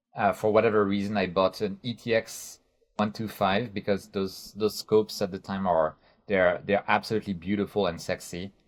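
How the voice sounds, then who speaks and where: Delivered in a French accent, the speech is monotone and flat at a moderate pace. The recording is very clean, with a silent background. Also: man, fairly low pitch for a man. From France. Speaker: astrophotography YouTuber. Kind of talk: interview. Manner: halting.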